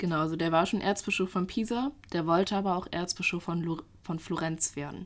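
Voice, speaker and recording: A woman with a fairly low pitch talks at a fairly quick pace with ordinary pitch variation, in an unremarkable speaking voice. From German village. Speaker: history student and podcast co-host. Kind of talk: casual storytelling chat.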